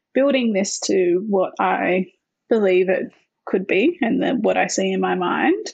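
This woman has an Australian accent and a medium pitch. Her voice carries vocal fry. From Australia, Northern Territory. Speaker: founder of a women's organisation, former dancer. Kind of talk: interview.

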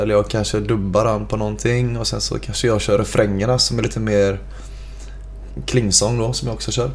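A man talks at a moderate pace. There is noticeable background noise and audible room echo. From Gothenburg, Sweden (Frölunda). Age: 20s. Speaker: metal band singer. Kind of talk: casual interview chat.

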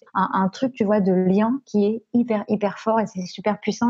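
A woman speaks in a medium pitch with a dark, mellow, somewhat breathy tone and fairly even intonation, in a dry, close sound with no echo. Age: 20s. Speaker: podcast creator. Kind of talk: interview. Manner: hesitant, many fillers.

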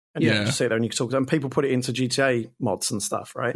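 A man speaks very fast with a British accent, his pitch medium and its variation ordinary. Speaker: podcast co-host.

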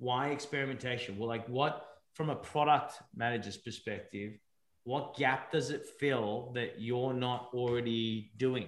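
Speaking at a fairly slow pace, a man uses a plain, everyday voice of medium pitch with fairly even intonation. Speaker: podcast host. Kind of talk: casual podcast interview. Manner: jokey, laughs often.

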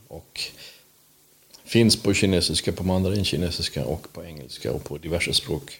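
A man's very deep, low voice with vocal fry, a fairly slow pace, ordinary pitch variation and big swings in loudness. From Småland, Sweden (Vetlanda). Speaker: podcast host. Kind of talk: casual chat.

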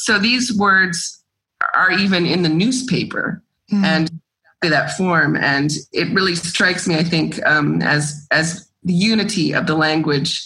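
A woman with an American accent has an ordinary speaking voice, pitched fairly low with ordinary variation. She speaks fairly slowly, keeping her loudness very even. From US South, Georgia. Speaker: poet and translator. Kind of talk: interview.

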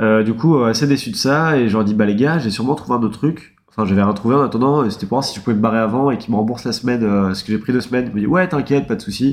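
At a very fast pace, a man speaks with hardly any pauses. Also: medium pitch for a man, ordinary pitch variation. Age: 20s. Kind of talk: casual chat.

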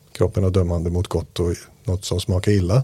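The speaker is a man with a somewhat breathy voice. His tone is dark and mellow. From Iran. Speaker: meditation teacher. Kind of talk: casual chat; guided meditation.

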